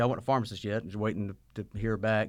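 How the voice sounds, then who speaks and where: In a Southern US accent, a man with a fairly low pitch talks very fast on a very clean recording with a silent background. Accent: Southern US (Georgia). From US South, Georgia (Sylvania). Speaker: pharmacist and pharmacy owner. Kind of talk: interview. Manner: halting, many repeated words.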